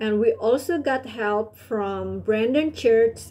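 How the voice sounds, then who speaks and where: A woman's dark, mellow voice moves at a fairly slow pace. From Indonesia. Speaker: college student intern. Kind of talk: scripted reflection on an internship. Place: home room. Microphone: webcam.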